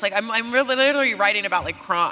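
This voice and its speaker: Over noticeable background noise, a woman with an American accent sounds animated, talking at a fairly quick pace in a fairly high-pitched voice. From West Virginia. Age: 30s. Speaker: podcast host and filmmaker. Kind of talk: live conversation on stage. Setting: stage with live audience. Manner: casual, animated.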